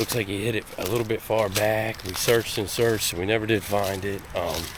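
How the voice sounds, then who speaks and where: Over noticeable background noise, a man speaks at a fairly quick pace in a flat monotone with a fairly low pitch. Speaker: hunting vlogger. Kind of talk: self-filmed hunting vlog. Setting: outdoors in the woods. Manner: casual, conversational.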